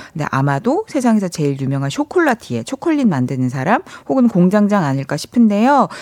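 Her voice sits at a medium pitch and moves at a fairly quick pace. The woman makes very wide pitch swings, and the sound is dry and close with no echo. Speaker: film journalist. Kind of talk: film talk segment. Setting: studio. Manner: soft-spoken, gentle.

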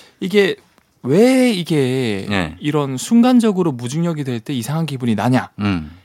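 A man talks in a fairly high pitch at a fairly slow pace. His pitch swings very widely. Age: 30s. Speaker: science communicator. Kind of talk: radio science segment.

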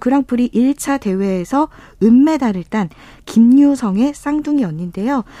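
Her dark, mellow tone sits at a high pitch as the woman speaks at a moderate pace with ordinary pitch variation, in a dry, close sound with no echo. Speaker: sports reporter. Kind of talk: radio news report.

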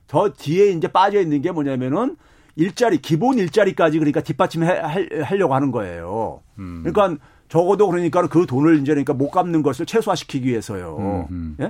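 A man speaks in an ordinary speaking voice at a fairly high pitch and a fairly quick pace over a quiet background. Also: lively intonation. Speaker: economics professor. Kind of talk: casual chat.

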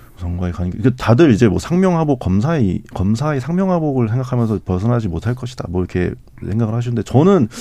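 A man's very fast delivery with hardly any pauses, at a medium pitch in a dark, mellow tone with very wide pitch swings. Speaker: newspaper journalist. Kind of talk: radio panel discussion. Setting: studio.

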